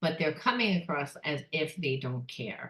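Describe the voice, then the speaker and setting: Somewhat breathy woman at a moderate pace with ordinary pitch variation. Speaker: psychic tarot reader. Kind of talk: tarot reading monologue. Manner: casual.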